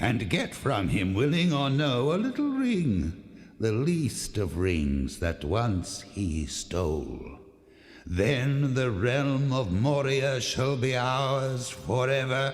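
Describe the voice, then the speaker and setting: At a very slow pace, the speaker puts on a character voice. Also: man, medium pitch for a man. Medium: audio drama.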